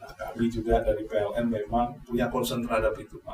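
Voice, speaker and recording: A man speaks fairly quickly while background noise is clearly noticeable. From East Java, Malang. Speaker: electricity company manager. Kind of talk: podcast interview. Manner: hesitant with frequent fillers.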